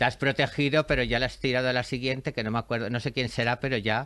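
A man with a bright, sharp tone and medium pitch at a very fast pace. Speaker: podcast host. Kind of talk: casual chat. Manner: animated.

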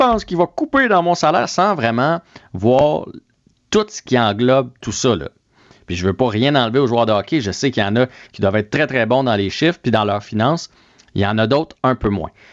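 A man talks at a fairly quick pace and a medium pitch. The sound is dry and close with no echo, and the background is quiet. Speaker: sports commentator. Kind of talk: casual chat. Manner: animated.

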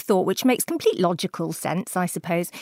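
In a very clean recording with a silent background and a dry, close sound with no echo, a woman speaks in a Welsh accent with ordinary pitch variation. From South Wales. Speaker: beauty podcast host and journalist. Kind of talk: casual chat.

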